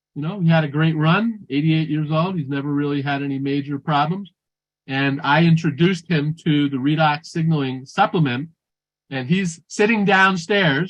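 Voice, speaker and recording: Here is a man with an ordinary speaking voice, pitched fairly high. His pace is moderate and his pitch variation ordinary. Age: 60s. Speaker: functional nutrition practitioner. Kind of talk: conference talk.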